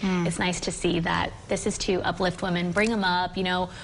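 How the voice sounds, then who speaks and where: Noticeable background noise sits behind a woman speaking at a very fast pace. She has a fairly low pitch and fairly even intonation. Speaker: news anchor and reporter, bilingual host. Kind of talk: local TV news field reporting and interviewing.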